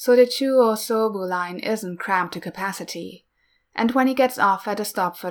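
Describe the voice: Over a quiet background, someone does plain reading aloud, the pitch varying in an ordinary way.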